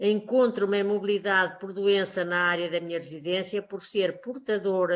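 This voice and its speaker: A woman's plain, everyday voice, fairly slow with fairly even intonation, over a quiet background. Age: 60s. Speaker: teacher. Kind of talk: testimony. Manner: formal.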